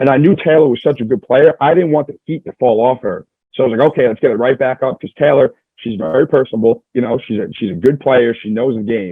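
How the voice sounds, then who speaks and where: A man's medium-pitched voice, very fast and with lively intonation. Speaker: reality show contestant. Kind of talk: interview. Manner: loud.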